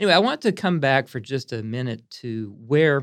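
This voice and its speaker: Against a quiet background, a man with an American accent speaks at a moderate pace. He has an unremarkable speaking voice at medium pitch. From US Northeast, Pennsylvania (Pottstown near Philadelphia). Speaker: botanical garden director and podcast host. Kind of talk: casual educational chat.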